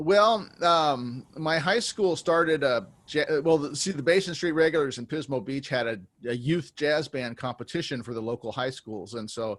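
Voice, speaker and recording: On a very clean recording with a silent background, an unremarkable speaking voice moves at a moderate pace with lively intonation. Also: man, fairly high pitch for a man. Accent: American. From California, US. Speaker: jazz musician. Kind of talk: interview.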